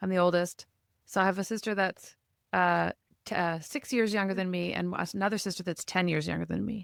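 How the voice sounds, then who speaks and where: A woman with a normal speaking voice and a Canadian accent, medium pitch, fairly even intonation and a fairly quick pace, on a very clean recording with a silent background and dry, close sound with no echo. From Canada, Nova Scotia then Ottawa. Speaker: podcast host. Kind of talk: podcast interview.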